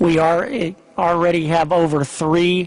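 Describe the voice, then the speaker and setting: Over noticeable background noise, a man with a Midwestern American accent speaks at a fairly slow pace in a high pitch. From Kansas. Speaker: sports organization executive. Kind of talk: press conference speech. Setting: convention center news conference.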